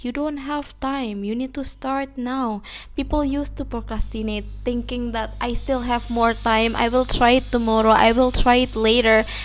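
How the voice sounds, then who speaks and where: With music in the background, a woman in an Indonesian accent talks at a moderate pace with hardly any pauses. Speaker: English-learning YouTuber. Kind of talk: motivational talk to camera.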